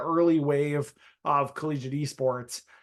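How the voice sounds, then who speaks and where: A strong Upper Midwest accent with ordinary pitch variation over a quiet background. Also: man. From North Dakota. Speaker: esports hardware solutions director. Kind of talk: webinar presentation. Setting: online webinar. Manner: many filler words (uh, um).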